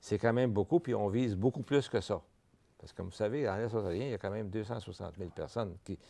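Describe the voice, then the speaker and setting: A man's dark, mellow, fairly low voice at a very fast pace, with ordinary pitch variation, over a quiet background. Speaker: vice-president of a francophone health network. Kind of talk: TV interview. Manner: halting, with many repetitions.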